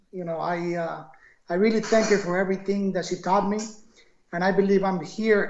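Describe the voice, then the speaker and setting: Fairly quick speech in a Spanish accent. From Ecuador, Quito. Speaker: entrepreneur. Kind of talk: interview.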